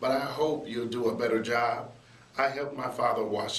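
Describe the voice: A speaker reads aloud plainly, the pitch shifting an ordinary amount.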